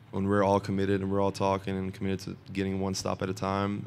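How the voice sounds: With a fairly quick pace and a slightly mellow tone, a man talks at a low pitch in a monotone, flat intonation marked by vocal fry.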